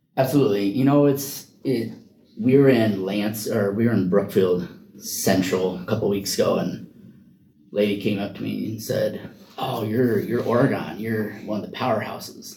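A man with a fairly low voice and an American accent speaks with ordinary pitch movement, and the room echo is audible. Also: moderate pace. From Iowa. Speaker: wrestling coach and special education paraprofessional. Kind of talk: interview. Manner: halting.

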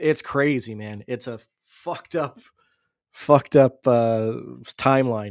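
A man's normal speaking voice at medium pitch, fairly slow pace, very clean recording with a silent background. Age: 40s. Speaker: podcast co-host. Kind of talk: casual chat.

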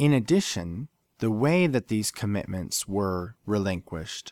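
With an unremarkable speaking voice, a man of fairly low pitch talks at a moderate pace in a very clean, silent-background recording that is dry and close with no echo. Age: 40s. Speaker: podcast host. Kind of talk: solo podcast monologue.

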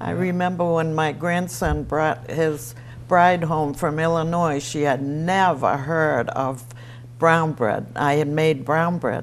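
Speaking very slowly with an Eastern New England accent, a woman uses a very deep, low pitch, and audible room echo surrounds her voice. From Easton, Massachusetts. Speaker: retiree sharing local memories. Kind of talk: oral history interview.

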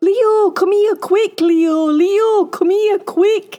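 Over faint music in the background, a woman does a put-on character voice at an extremely high pitch with a dark, mellow tone, ordinary pitch variation and a very slow pace.

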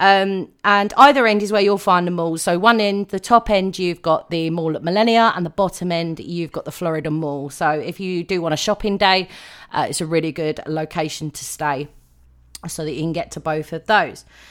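Speaking with a British accent, a woman keeps a moderate pace at a fairly low pitch with ordinary pitch variation. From UK. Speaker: podcast host. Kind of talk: solo podcast talk.

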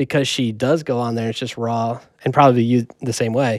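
A man in a normal speaking voice talks at a fairly quick pace with medium pitch and fairly even intonation. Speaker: podcast co-host and music producer. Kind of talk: casual chat. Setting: studio.

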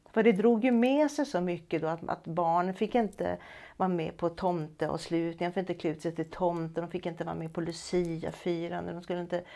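Over a very clean recording with a silent background, a woman speaks fairly quickly at a fairly low pitch with a dark, mellow tone and ordinary pitch variation. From Stockholm, Sweden. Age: 60s. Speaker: retired music teacher. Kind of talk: personal testimony.

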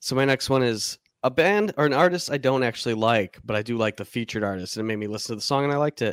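A man's lively, very fast delivery with hardly any pauses, in a dry, close sound with no echo. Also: medium pitch for a man. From Michigan. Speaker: podcast host. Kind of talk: casual chat.

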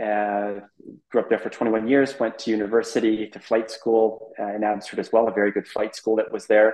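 Here is a man with a Canadian accent and an ordinary speaking voice. His pitch is medium and his pace moderate. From Canada, British Columbia (Abbotsford). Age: 40s. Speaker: private jet pilot. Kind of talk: interview, casual chat.

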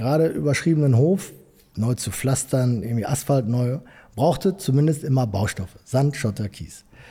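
A man's somewhat breathy, medium-pitched voice with a dark, mellow tone at a fairly quick pace. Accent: Ruhr. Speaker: entrepreneur, construction company owner. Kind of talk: interview.

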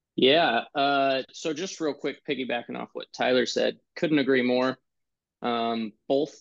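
A man speaks fairly slowly in an ordinary speaking voice, with fairly even intonation. The sound is dry and close, with no echo. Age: 20s. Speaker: former youth group volunteer. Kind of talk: casual chat. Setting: video call.

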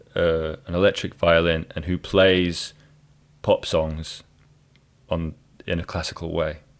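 A man speaks with a Scottish accent. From Scotland. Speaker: jazz violinist and podcast host. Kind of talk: casual interview chat.

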